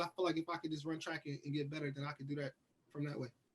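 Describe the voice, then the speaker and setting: This man speaks at a very fast pace. His words come out in a rapid rush. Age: 20s. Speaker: track and field athlete. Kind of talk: interview.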